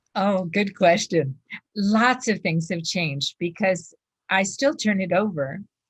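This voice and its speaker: Somewhat breathy and fairly slow, a woman speaks at medium pitch with ordinary pitch variation. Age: 70s. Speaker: food addiction recovery speaker. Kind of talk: interview.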